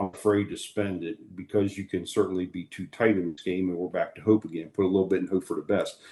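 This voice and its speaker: Against a quiet background, a man speaks very fast with hardly any pauses, his fairly low voice dark and mellow and his intonation monotone and flat. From Maryland, USA. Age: 50s. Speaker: farmer. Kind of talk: interview answer.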